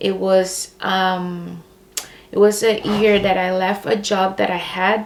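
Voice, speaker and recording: Over noticeable background noise, a woman with a Brazilian accent speaks at a very slow pace, her medium pitch held in fairly even intonation. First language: Portuguese. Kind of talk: personal faith testimony. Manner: hesitant, many fillers.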